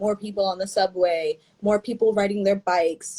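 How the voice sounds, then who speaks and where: Here a woman with a New York accent talks at a fairly quick pace, with medium pitch and fairly even intonation. Her tone is dark and mellow, and the sound is dry and close with no echo. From New York, the Bronx. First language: Spanish. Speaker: brand founder. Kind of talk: interview. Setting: video call.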